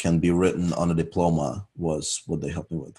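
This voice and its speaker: In a very clean recording with a silent background, a man with a European accent and a very deep, low pitch speaks at a moderate pace in a dark, mellow tone. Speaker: university student. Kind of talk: interview.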